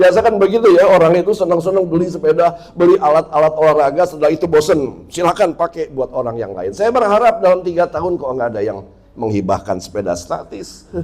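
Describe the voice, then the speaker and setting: A man speaks at a high pitch and a very fast pace. His pitch swings very widely, and he hardly pauses at all. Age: 60s. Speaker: pastor. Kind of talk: sermon.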